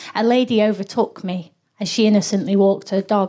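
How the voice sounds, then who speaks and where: A woman with a normal speaking voice talks at a moderate pace, medium in pitch with fairly even intonation. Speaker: comedian. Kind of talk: live comedy chat. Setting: stage with audience.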